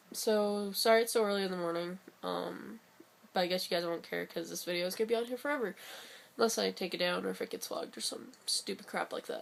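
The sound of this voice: In a raspy, put-on character voice, a woman rushes along at a very fast pace with a medium pitch.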